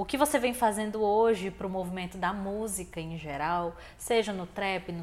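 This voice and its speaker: Ordinary pitch variation and a moderate pace in a woman's medium-pitched voice. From Fortaleza, Ceará, Brazil. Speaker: podcast host. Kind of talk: interview. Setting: studio. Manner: animated.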